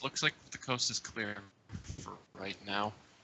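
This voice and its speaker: At a moderate speed, the speaker performs in a put-on character voice. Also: man, fairly low pitch for a man. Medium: actual play.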